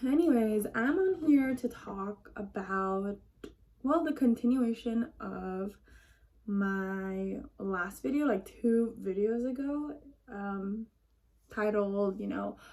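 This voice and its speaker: A woman speaks in a fairly high voice with ordinary pitch variation. Noticeable background noise runs underneath. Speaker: vlogger. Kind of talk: casual chat. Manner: casual, filler-heavy.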